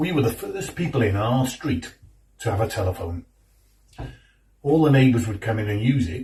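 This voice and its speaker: A man talks in a dark, mellow tone that is somewhat breathy. His intonation is lively. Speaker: actor. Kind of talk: theatre monologue.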